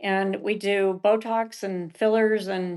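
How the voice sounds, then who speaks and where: Her intonation holds fairly even. This woman's voice sits at a fairly high pitch. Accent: American. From Utah. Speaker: esthetician and med spa co-owner. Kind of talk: podcast interview.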